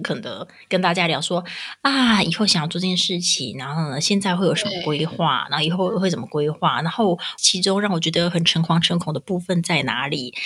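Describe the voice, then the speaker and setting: Noticeable background noise sits behind a woman with a fairly low pitch. She sounds animated and talks at a fairly quick pace. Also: ordinary pitch variation. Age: 30s. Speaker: podcast co-host, mother. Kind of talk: casual chat. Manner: animated, frequent laughter.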